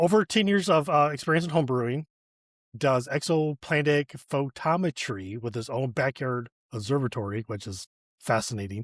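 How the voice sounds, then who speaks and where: A man with an American accent has a normal speaking voice of medium pitch and a moderate pace. The sound is dry and close with no echo, on a very clean recording with a silent background. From Michigan (Flint area). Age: 40s. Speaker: podcast host. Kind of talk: casual interview chat.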